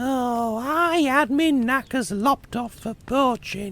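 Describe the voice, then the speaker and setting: In a squeaky, put-on character voice, a man speaks at an extremely high pitch and a fairly slow pace. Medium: audio drama.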